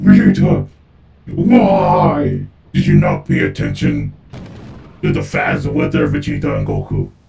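Putting on a robotic, raspy character voice, a man speaks at a fairly slow pace with long, frequent pauses. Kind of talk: goofy gaming-session character play. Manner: overly friendly mascot showman, mock-protective.

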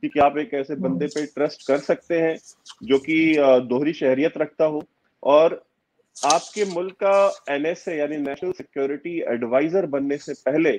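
Over light background noise, a man with a fairly high pitch talks at a fairly slow pace with ordinary pitch variation. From India. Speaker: geopolitical analyst. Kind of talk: interview. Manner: forthright, forceful. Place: home room. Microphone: video call.

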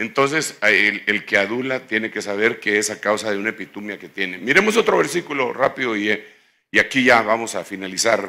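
A man speaks with a bright, sharp tone at a moderate pace. His pitch varies in an ordinary way. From Guatemala. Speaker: pastor. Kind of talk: sermon. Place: church. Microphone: handheld.

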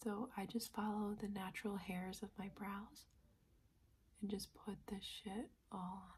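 Soft-spoken and somewhat breathy, a woman talks at a fairly slow pace with fairly even intonation over light background noise. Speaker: beauty vlogger. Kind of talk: casual tutorial chat. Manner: soft-spoken ASMR murmur. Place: home room. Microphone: phone near.

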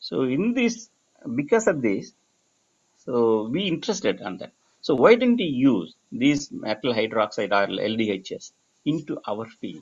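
This voice, with a Tamil accent, moves at a fairly slow pace through very wide pitch swings. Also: man, fairly high pitch for a man. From Tamil Nadu, India. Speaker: research professor. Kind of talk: lecture. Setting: video call. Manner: halting. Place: home room. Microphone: webcam.

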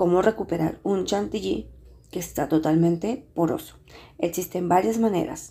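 With vocal fry and lively intonation, a woman speaks at a fairly low pitch and a moderate pace. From Peru. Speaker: pastry chef and cooking youtuber. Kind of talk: tutorial. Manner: hesitant with frequent filler sounds.

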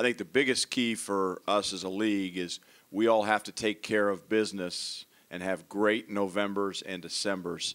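A man speaks at a fairly low pitch with fairly even intonation. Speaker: basketball head coach. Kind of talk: press conference answer. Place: hall. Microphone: handheld.

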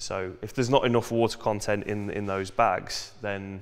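This is a man speaking. His pitch sits fairly low. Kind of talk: tutorial. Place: workshop. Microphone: phone near.

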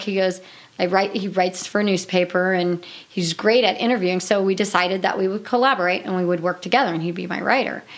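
Speaking very fast, a woman with a medium pitch talks in an American accent. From San Francisco Bay Area, California (Fremont); California. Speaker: ultramarathon runner; podcast guest. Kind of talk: casual interview. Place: studio. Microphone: studio mic.

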